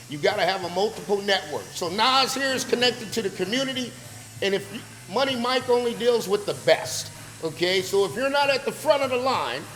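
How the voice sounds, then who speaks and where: Over noticeable background noise, a man with an extremely high voice speaks in an animated tone with lively intonation. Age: 60s. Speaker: podcast host, business motivator. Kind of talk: casual motivational talk. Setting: barbershop.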